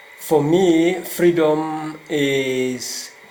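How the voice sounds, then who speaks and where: Noticeable background noise and audible room echo both surround a man's speech. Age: 60s. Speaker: politics professor. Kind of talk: interview.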